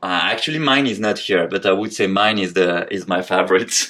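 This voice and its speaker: A man with a French accent, ordinary pitch variation and hardly any pauses. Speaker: tech company co-founder. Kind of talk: casual interview, rapid-fire questions. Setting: office tour. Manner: hesitant, many fillers.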